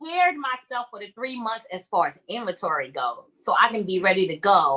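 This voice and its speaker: Her pitch is fairly high, with very wide swings. The woman keeps a moderate pace. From Brooklyn, New York (East Flatbush). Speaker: navy veteran and small-business owner. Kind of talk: casual interview.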